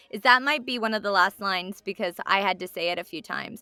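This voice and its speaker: A woman with an American accent, music playing in the background. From Texas. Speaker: voice actor. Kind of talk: interview.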